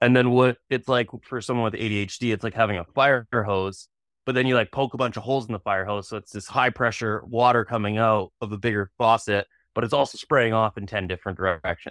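In a Canadian accent, a man with a normal speaking voice and medium pitch talks at a fairly quick pace. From Canada, British Columbia (Kelowna). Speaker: tattoo artist. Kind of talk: casual interview.

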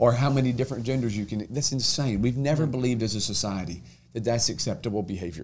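A man with an American accent rattles along at a very fast pace, his medium pitch showing ordinary variation and vocal fry. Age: 30s. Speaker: state senator. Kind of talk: casual chat.

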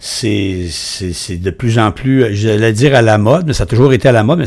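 A man speaks at a moderate pace with a Quebec accent, his medium pitch moving with ordinary variation. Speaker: podcast host. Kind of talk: interview.

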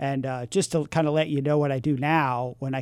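In an American accent, the speaker moves at a fairly quick pace with fairly even intonation on a very clean recording with a silent background. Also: man. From San Francisco, California. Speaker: former addict, mission worker. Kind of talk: testimony. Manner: halting.

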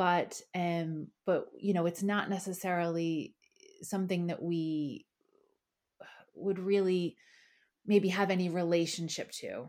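With a Philadelphia accent, a woman speaks at a fairly slow pace, pitched fairly low, her intonation fairly even and her pauses long and frequent. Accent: Philadelphia American. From Philadelphia, US. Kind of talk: casual chat.

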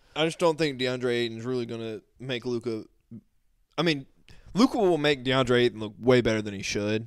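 A man with an ordinary speaking voice, medium pitch, ordinary pitch variation and a moderate pace. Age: 20s. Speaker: sports podcast co-host. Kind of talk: casual sports chat. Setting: live stream on YouTube.

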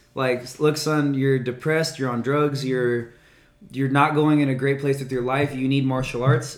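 Heard with audible room echo, a man with an American accent speaks at a medium pitch. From California, Norco (Inland Southern California). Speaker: martial arts content creator. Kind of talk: casual chat. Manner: animated.

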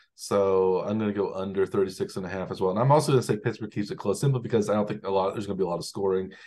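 A man's fairly low, dark, mellow voice at a very fast pace, with ordinary pitch variation, hardly any pauses and a quiet background. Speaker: podcast host. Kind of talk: casual sports chat.

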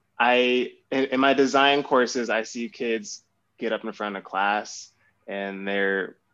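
A man with a normal speaking voice talks at medium pitch with ordinary pitch variation. The background is quiet. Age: 20s. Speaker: graphic designer. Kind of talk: casual chat.

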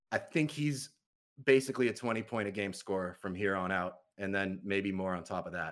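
With ordinary pitch variation and a fairly quick pace, a man is captured in a very clean recording against a silent background. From Massachusetts, US. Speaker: basketball podcaster and writer. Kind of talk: casual chat.

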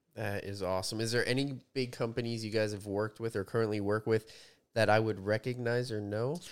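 Fairly low male voice at a fairly quick pace, fairly even intonation, in a very clean recording with a silent background. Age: 30s. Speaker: podcast host and personal trainer. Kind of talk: casual interview.

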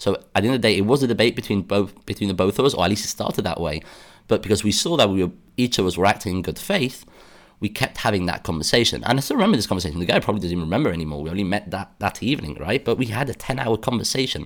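The speaker talks very fast with lively intonation in a British accent. The recording is very clean, with a silent background. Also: man, fairly low pitch for a man. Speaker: podcast host. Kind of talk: solo monologue podcast episode. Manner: earnest, somewhat halting with repetitions.

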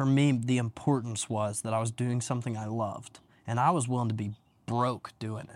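Using an ordinary speaking voice, a man talks at a fairly quick pace with a medium pitch and fairly even intonation. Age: 20s. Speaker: real estate agent. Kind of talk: casual chat. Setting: outdoors.

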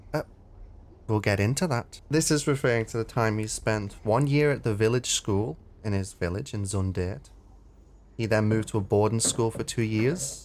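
A man with a plain, everyday voice, medium pitch with ordinary variation and a moderate pace, in a very clean recording with a silent background. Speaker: podcast co-host. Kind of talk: casual chat.

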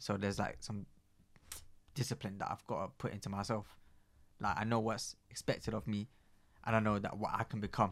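With a London accent, a man speaks at a fairly quick pace in a fairly low pitch. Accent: London multicultural youth English. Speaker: guest. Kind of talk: casual interview chat. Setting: studio.

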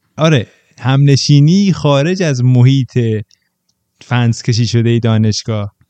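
Dry and close with no echo, a man's dark, mellow voice at a medium pitch moves at a fairly slow pace with long, frequent pauses and ordinary pitch variation. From provincial Iran. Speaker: podcast guest. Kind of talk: casual chat.

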